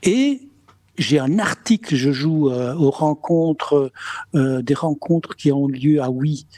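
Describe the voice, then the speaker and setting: Going at a very slow pace, a man speaks at a fairly high pitch with ordinary pitch variation. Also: dry, close sound with no echo. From Spain. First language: Spanish (speaking French). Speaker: comedian. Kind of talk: interview. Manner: halting, many repetitions.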